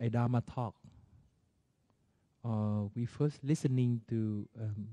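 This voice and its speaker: Speaking at a very slow pace with a non-native accent, a man has a dark, mellow tone at medium pitch, the sound dry and close with no echo. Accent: non-native, unfamiliar to listeners. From Vietnam. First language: Vietnamese. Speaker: Buddhist monastic teacher. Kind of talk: dharma talk. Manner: halting, with frequent fillers.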